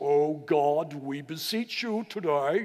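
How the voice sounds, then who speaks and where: A put-on character voice in a solemn tone at a fairly slow pace. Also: man, fairly high pitch for a man. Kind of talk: theatrical, pompous. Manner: solemn, exaggerated.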